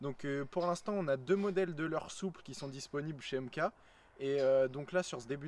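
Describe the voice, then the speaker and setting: Speaking fairly quickly, the man lets his pitch vary in an ordinary way. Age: young (19). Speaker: fishing YouTuber, student. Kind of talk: casual video introduction. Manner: hesitant, many fillers.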